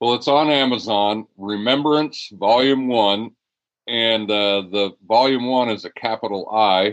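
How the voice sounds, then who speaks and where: A man with a normal speaking voice talks in a medium pitch at a fairly slow pace. His pitch variation is ordinary. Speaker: retired high school teacher, football coach and author. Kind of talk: interview conversation.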